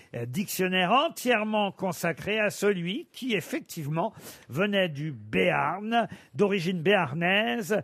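A man in a Norman accent, high-pitched and very slow, with lively intonation. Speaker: radio game show host. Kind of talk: comedy panel show. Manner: animated.

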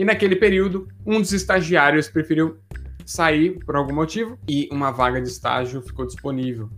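Using lively intonation, a man with a fairly high pitch talks at a moderate pace. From Brazil, Santos (São Paulo state). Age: 20s. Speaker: career YouTuber, account manager. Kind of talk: monologue to camera, personal career story. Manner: casual, many fillers (né, é).

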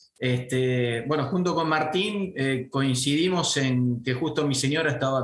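Over noticeable background noise, a man with a Santa Fe accent talks at a fairly high pitch with ordinary pitch variation. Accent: Argentine Spanish (rioplatense, Santa Fe). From Argentina, Venado Tuerto (Santa Fe). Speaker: franchise business owner. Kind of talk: interview. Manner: halting, many fillers and repetitions.

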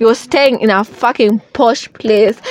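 A woman with a high pitch speaks at a fairly slow pace. The sound is dry and close with no echo, and there is noticeable background noise. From Kenya. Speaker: podcast host. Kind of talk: casual chat.

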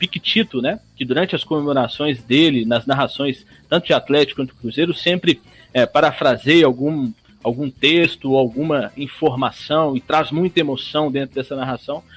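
Using a normal speaking voice, a man with a fairly high pitch talks at a moderate pace with ordinary pitch variation. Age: 20s. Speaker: sports commentator. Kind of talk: live radio sports talk.

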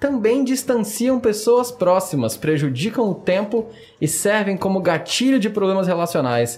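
High pitch from a man, with very wide pitch swings. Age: 20s. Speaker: podcast host. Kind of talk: casual chat. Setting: studio.

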